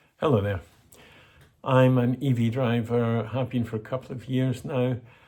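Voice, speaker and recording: In a Scottish accent, a man speaks at a moderate pace and medium pitch, his tone dark and mellow, somewhat breathy, with monotone, flat intonation. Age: old. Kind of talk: casual talk to camera.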